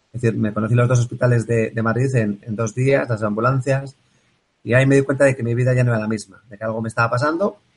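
A somewhat breathy man at a medium pitch and a very fast pace. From Basque Country, Bilbao. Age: 40s. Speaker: engineer and productivity coach. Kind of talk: interview.

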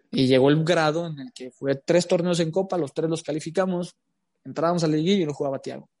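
Speaking at a fairly quick pace, a man with a dark, mellow tone keeps his intonation fairly even in a dry, close recording without echo. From Mexico, Jalisco. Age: 20s. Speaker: footballer. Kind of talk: interview.

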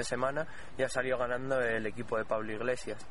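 A man's medium-pitched voice with monotone, flat intonation and audible room echo. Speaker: radio course student reporter. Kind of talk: cultural commentary; street interview report.

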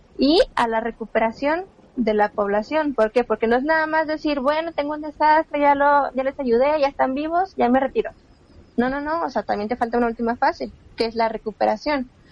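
Here a woman speaks at a high pitch and a fairly quick pace. Her pitch variation is ordinary. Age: 20s. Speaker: civil protection and emergency specialist. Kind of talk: interview. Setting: remote recording.

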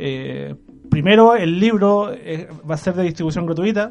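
A man with a Chilean accent speaks in a high pitch. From Chile, Maule region. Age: 20s. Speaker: young writer and sociology student. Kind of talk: casual radio interview. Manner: hesitant, with many fillers and restarts.

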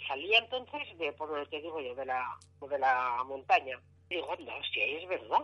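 A woman talks at a moderate pace with lively intonation and a very deep, low pitch. Her tone is bright and sharp, and her loudness swings widely. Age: 60s. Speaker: UFO sighting witness. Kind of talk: phone interview, testimony.

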